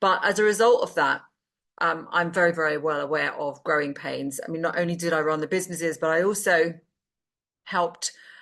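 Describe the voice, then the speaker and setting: This woman has a British accent and a fairly low pitch. She talks at a fairly quick pace with fairly even intonation. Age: 60s. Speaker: business advisor and investor. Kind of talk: casual talk to camera. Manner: hesitant with many fillers.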